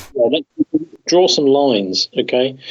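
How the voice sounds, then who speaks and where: At a moderate pace, a man with a British accent talks in a fairly high pitch. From Britain. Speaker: journalist. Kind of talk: interview conversation.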